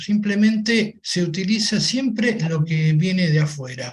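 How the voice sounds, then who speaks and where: Delivered at a fairly slow pace with lively intonation, this is a normal speaking voice. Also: man. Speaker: manufacturer. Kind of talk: panel discussion.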